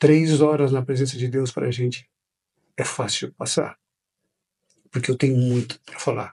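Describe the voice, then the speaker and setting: The voice is somewhat breathy, with a dark, mellow tone and monotone, flat intonation. Long, frequent pauses break up the speech. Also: man, medium pitch for a man, fairly slow pace. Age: 50s. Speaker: pastor. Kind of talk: interview.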